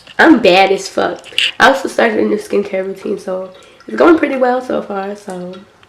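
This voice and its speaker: Over noticeable background noise, the speech moves at a moderate pace with lively intonation and big swings in loudness. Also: woman, medium pitch for a woman. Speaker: vlogger. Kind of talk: casual vlog. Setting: filming self on camera.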